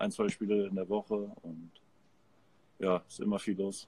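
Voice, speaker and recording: The sound is dry and close, with no echo. A man speaks at a moderate pace in a fairly low pitch, his tone dark and mellow. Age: 20s. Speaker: professional volleyball player. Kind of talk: interview. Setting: remote call from a sports arena.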